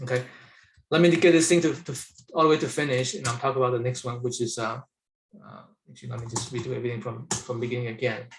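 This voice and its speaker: A man speaks very fast yet leaves long, frequent pauses, his somewhat breathy voice showing ordinary pitch variation. His loudness swings widely. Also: medium pitch for a man. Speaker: software architect demonstrating his tool. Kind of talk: live software demo. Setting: webinar.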